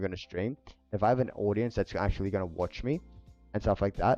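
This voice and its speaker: A man with an Australian accent, very fast and fairly low, fairly even in intonation, with music in the background. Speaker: streamer and photographer. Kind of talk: casual live stream chat. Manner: halting, repeats words.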